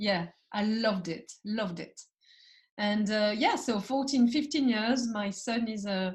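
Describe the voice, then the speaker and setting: A woman's somewhat breathy, fairly high voice with a French accent, fairly slow pace and ordinary pitch variation. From France. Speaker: entrepreneur and founder. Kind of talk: podcast interview. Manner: halting, many fillers.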